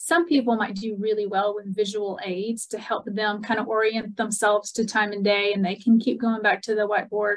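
An unremarkable speaking voice at a moderate pace, fairly even in intonation, with hardly any pauses and a quiet background. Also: woman, fairly high pitch for a woman. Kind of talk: webinar announcements. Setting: video call. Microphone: video call.

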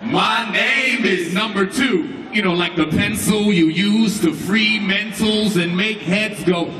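A man speaks very slowly in a raised, projected voice, high-pitched for a man, with ordinary pitch variation. His loudness stays very even, and background noise is noticeable. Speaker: spoken word poet. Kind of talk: spoken word performance.

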